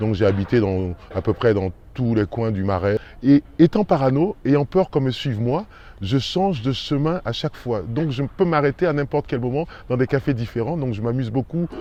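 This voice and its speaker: A man's dark, mellow voice at medium pitch, lively in intonation and moderate in pace. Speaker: actor. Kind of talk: casual interview answer about his neighbourhood.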